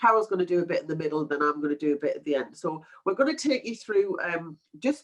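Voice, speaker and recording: A woman's very fast speech with a Geordie accent, medium in pitch, with ordinary pitch variation. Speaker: webinar presenter, project management consultant. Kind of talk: webinar presentation. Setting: online webinar. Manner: casual, filler-heavy.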